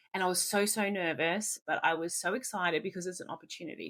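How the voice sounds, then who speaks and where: Bright and sharp in tone, a woman with a medium pitch talks at a fairly quick pace in an animated way. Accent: Australian. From Australia. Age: 30s. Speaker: roller derby coach. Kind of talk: casual coaching talk.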